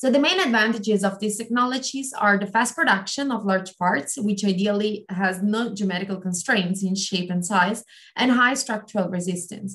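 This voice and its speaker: The speech moves at a moderate pace with hardly any pauses and ordinary pitch variation, against a quiet background. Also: woman. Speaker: postdoc researcher; webinar presenter. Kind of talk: webinar talk. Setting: video call. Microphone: video call.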